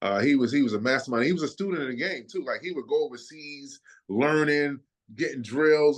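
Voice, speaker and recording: Against a quiet background, a man with an American accent talks in a normal speaking voice, fairly high in pitch and at a fairly quick pace. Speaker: former college basketball player. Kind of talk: casual interview chat.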